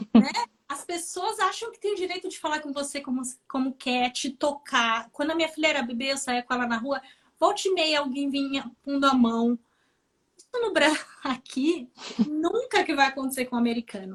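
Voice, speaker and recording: With a Brazilian accent, this woman speaks in a high pitch at a moderate pace, her intonation lively and her loudness swinging widely. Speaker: nurse. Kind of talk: interview chat on a live stream.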